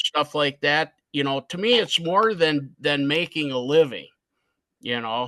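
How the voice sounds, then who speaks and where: A man with an American accent has an unremarkable speaking voice at a fairly high pitch, with ordinary pitch variation. He speaks at a fairly slow pace, and the sound is dry and close with no echo. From US Midwest, Chicago. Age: 60s. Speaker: custom artist. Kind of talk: podcast interview.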